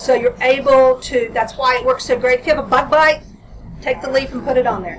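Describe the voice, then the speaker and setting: With noticeable background noise behind her, a woman speaks at a high pitch. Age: 60s. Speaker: hemp grower and processor. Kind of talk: panel discussion. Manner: animated.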